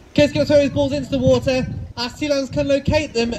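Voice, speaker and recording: A man's voice against loud background noise. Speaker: presenter. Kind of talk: live show commentary. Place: stadium.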